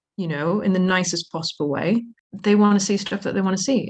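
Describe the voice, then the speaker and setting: Somewhat breathy, a woman with an American accent talks at a fairly quick pace. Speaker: zoo manager. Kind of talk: podcast interview. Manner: animated.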